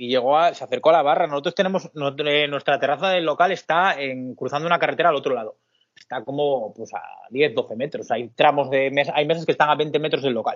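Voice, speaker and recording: This man's voice is fairly high. Its pitch shifts in an ordinary way. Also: fairly quick pace. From Asturias, Spain (Pola de Siero). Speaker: bar manager and co-owner. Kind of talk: casual interview. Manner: hesitant, with repetitions.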